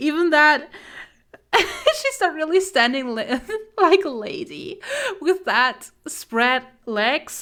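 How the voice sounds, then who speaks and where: A high-pitched woman with a non-native accent, bright and sharp in tone, lively in intonation, at a very slow pace with long, frequent pauses. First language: not English. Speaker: streamer and artist. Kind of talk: casual live stream chat. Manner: halting, frequent repetitions.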